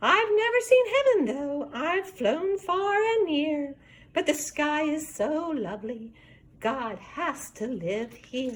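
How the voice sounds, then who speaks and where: Using a squeaky, put-on character voice, a woman speaks at a very slow pace. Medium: read story.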